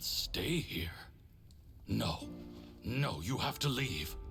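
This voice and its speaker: Clear music plays in the background as a man puts on a character voice. He speaks at medium pitch and a very slow pace. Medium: video game.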